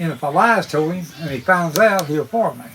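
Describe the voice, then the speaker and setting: Over noticeable background noise, a man with an Appalachian accent speaks fairly slowly at a high pitch with ordinary pitch variation. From US, West Virginia (Appalachia). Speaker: retired coal miner, storyteller. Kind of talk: storytelling interview.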